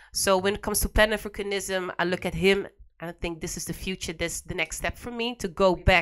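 Here is a woman with a normal speaking voice at medium pitch. Her pace is fairly quick and her intonation fairly even. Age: 20s. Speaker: educator on African history. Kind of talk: casual chat. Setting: radio studio.

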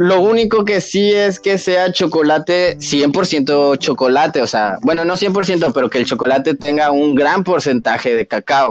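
A normal speaking voice moves at a fairly slow pace with very even loudness. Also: man, fairly high pitch for a man. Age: 20s. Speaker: podcast guest, cannabis user. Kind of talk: casual chat.

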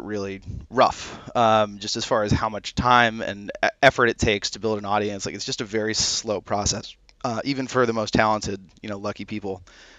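A man with an ordinary speaking voice talks fairly quickly at a fairly low pitch, his intonation fairly even but his loudness swinging widely. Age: 30s. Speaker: app founder. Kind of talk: casual chat.

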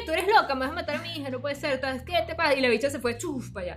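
There is noticeable background noise behind this woman. Her pitch varies in an ordinary way. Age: 30s. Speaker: podcast co-host. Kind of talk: casual chat.

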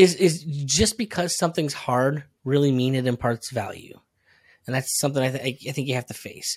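Over a very clean recording with a silent background, a man with an American accent talks at a moderate pace. His voice is somewhat breathy and fairly high, with ordinary pitch variation. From upstate New York. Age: 30s. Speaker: marketer and podcaster. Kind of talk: casual interview chat.

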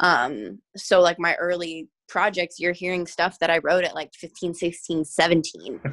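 With an American accent and a plain, everyday voice, a woman talks fairly slowly with hardly any pauses, her fairly low pitch varying in an ordinary way. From US Pacific Northwest, Washington. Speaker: singer-songwriter. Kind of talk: interview conversation.

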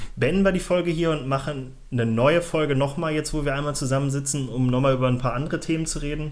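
A man talks at a very fast pace with hardly any pauses, his pitch fairly high and his intonation fairly even. Audible room echo surrounds the voice. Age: 20s. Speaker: podcast co-host. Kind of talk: casual chat.

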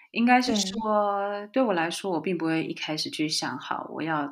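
A woman's pitch leaps up and down dramatically as she talks at an average tempo. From Taiwan. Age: 40s. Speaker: entrepreneur and author. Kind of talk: interview conversation.

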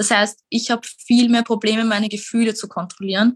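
Recorded with a dry, close sound and no echo, a woman speaks somewhat breathily at a moderate pace and a fairly high pitch. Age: 20s. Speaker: mental health speaker with lived experience. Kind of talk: interview.

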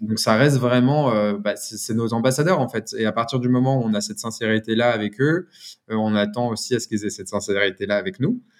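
A man at a fairly quick pace, medium in pitch with ordinary pitch variation, in a plain, everyday voice. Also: very clean recording, silent background. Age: 30s. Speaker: brand founder. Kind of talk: interview.

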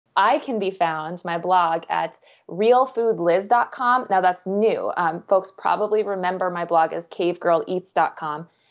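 This woman has an unremarkable speaking voice with an American accent, a medium pitch and ordinary pitch variation, talking at a fairly slow pace with hardly any pauses. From Kansas. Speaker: nutritionist and author. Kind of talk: casual interview.

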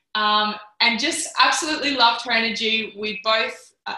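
Speaking with an Australian accent, a woman has a fairly high pitch and ordinary pitch variation. She keeps a moderate pace. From Australia, Canberra. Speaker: podcast host. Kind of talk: interview. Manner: animated.

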